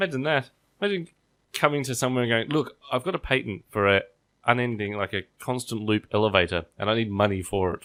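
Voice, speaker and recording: A man with an Australian accent, medium pitch, lively intonation and a very fast pace. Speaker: podcast host. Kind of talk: casual chat.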